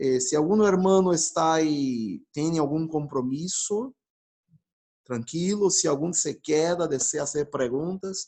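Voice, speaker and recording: Speaking at a fairly slow pace with a non-native accent, a man has a fairly high pitch, a dark, mellow tone and ordinary pitch variation. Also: very even loudness. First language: Portuguese (speaking Spanish). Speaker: pastor. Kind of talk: Q&A wrap-up after a teaching talk. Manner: halting, self-correcting.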